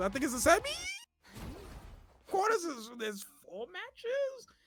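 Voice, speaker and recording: The speaker talks at a fairly quick pace with music in the background. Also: man, long, frequent pauses, big swings in loudness. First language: not English. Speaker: esports caster. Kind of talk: live commentary. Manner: halting.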